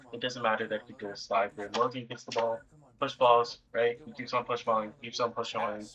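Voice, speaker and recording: A man's medium-pitched, monotone, flat voice at a fairly quick pace with big swings in loudness. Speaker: gameplay commentator. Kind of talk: live commentary.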